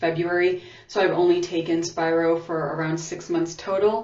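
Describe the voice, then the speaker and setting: The speech moves at a fairly slow pace with ordinary pitch variation and audible room echo. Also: woman. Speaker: beauty vlogger. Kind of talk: tutorial. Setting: bathroom. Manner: casual, conversational.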